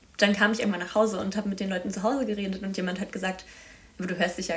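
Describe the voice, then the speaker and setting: Very fast speech from a woman at medium pitch, fairly even intonation, and noticeable background noise. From Baden-Württemberg, near Freiburg. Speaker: master's student, youth council member. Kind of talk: casual interview.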